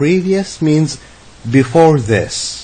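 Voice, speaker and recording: A man with an Arabic accent talks at a very slow pace in a fairly high pitch. His intonation is lively, and noticeable background noise sits behind him. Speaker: English teacher. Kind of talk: lecture. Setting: online lesson.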